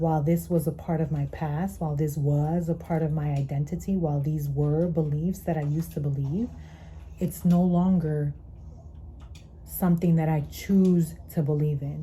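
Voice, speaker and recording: A woman talks in a dark, mellow tone with a very deep, low pitch, somewhat breathy. Her intonation is monotone and flat. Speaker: tarot reader. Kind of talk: tarot reading. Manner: slower, deeper at times.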